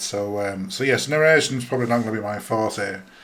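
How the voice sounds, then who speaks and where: In a room with audible echo, a man speaks at a medium pitch and a moderate pace, with ordinary pitch variation. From northern England, Huddersfield (Yorkshire). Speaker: podcaster. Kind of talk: casual solo podcast monologue. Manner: hesitant, many fillers (um, uh) and repetitions.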